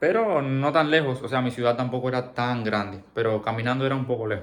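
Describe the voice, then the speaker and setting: Speaking at a fairly quick pace with a Cuban accent, a man uses a medium pitch and ordinary pitch variation. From Cuba, Camagüey. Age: 20s. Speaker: vlogger. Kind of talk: personal storytelling. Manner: halting.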